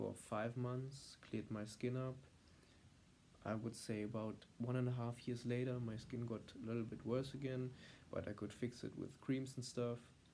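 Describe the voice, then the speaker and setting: A man with a German accent, medium pitch and a dark, mellow tone, at a moderate pace with monotone, flat intonation and long, frequent pauses. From Germany. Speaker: vlogger. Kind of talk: vlog monologue. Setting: filmed on iPad at home. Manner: halting, many fillers.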